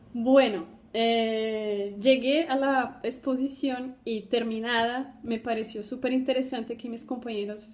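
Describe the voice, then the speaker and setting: A woman with a Colombian accent speaks with a fairly high pitch and fairly even intonation. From Brazil. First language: Portuguese (speaking Spanish). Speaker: doctoral student. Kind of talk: personal testimony for a class video. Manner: halting, many fillers.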